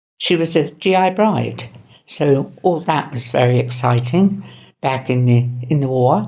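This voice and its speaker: A woman with a southern English accent speaks at a fairly slow pace. Her very deep, low voice is dark and mellow, with lively intonation. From southern England, Winchester, Hampshire. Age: 80s+. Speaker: elderly interviewee. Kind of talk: personal reminiscence. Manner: halting.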